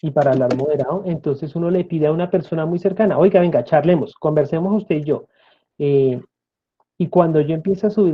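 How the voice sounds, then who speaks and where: Talking at a very fast clip, a man with a high voice keeps his intonation fairly even. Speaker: speech therapist and lecturer. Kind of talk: interview.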